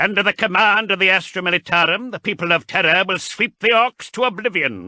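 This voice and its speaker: A man speaks at a fairly quick pace with hardly any pauses, using a put-on character voice pitched high for a man. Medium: read story.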